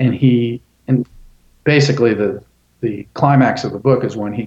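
An American accent marks this man's medium-pitched speech. He talks at a fairly slow pace with fairly even intonation. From Florida, US. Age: 60s. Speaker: journalist and author. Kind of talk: interview.

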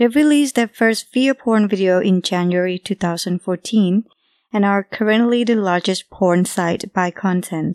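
Speaking at a moderate pace with a non-native accent, a woman uses a medium pitch and ordinary pitch variation, recorded in a dry, close sound with no echo. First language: not English. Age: young. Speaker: podcast co-host. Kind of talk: casual chat and reading aloud. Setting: studio.

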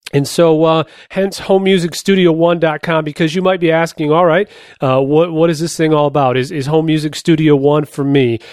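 With an ordinary speaking voice, a man talks at a fairly quick pace, his fairly high pitch following fairly even intonation. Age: 30s. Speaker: podcast host and home recording musician. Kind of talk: tutorial. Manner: casual, frequent filler words.

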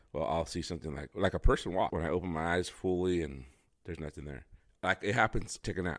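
The delivery comes at a very fast pace with vocal fry and ordinary pitch variation. The recording is very clean, with a silent background. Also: man, very deep, low pitch for a man. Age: 40s. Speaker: podcast host. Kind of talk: casual chat. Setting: studio.

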